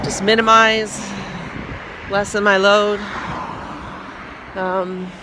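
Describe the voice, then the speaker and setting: Very slow and flat, a woman's monotone speech is broken by long, frequent pauses against noticeable background noise. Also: medium pitch for a woman. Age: 50s. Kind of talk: casual vlog talk to camera. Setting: outdoors.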